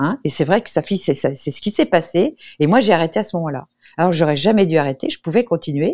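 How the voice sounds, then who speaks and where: A woman's fairly low, dark, mellow voice with lively intonation, in a dry, close sound with no echo. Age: 70s. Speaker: nutritionist and naturopath. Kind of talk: radio interview. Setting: remote link from abroad.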